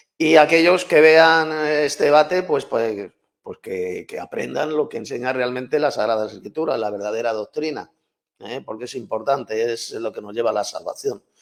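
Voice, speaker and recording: In a very clean recording with a silent background, a man with a Castilian accent speaks at a moderate pace, his loudness swinging widely. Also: fairly high pitch for a man, lively intonation. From Spain, Madrid. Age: 60s. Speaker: Bible teacher and author. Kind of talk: debate.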